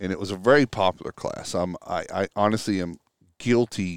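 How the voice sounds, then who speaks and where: The man has an ordinary speaking voice at a fairly low pitch, with ordinary pitch variation. His sound is dry and close with no echo, in a very clean recording with a silent background. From Texas. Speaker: restoration industry consultant. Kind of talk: casual chat. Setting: outdoors on a back deck.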